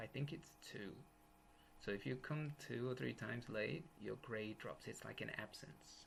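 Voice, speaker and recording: Over light background noise, a man with an English accent talks at a moderate pace. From England, east coast. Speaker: university English teacher. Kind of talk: lecture. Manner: casual, joking. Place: home room. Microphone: webcam.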